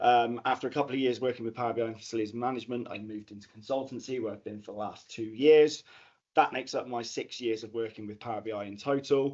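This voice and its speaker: Talking very fast with a Bristol accent, a man keeps a medium pitch and fairly even intonation, while his loudness swings widely. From England, Bristol. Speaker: data analytics consultant. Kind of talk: conference talk.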